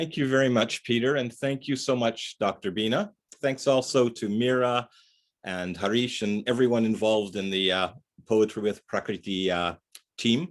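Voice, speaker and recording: A man with a Canadian accent speaks at medium pitch and a moderate pace, his pitch varying in an ordinary way. He has a plain, everyday voice. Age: 60s. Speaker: poet. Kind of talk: poetry reading. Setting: video call from his living room.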